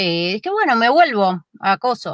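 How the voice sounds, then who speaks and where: A woman with an unremarkable speaking voice talks at a moderate pace in a fairly high pitch, the sound dry and close with no echo. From Buenos Aires, Argentina (Flores). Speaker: YouTube creator. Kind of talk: interview conversation.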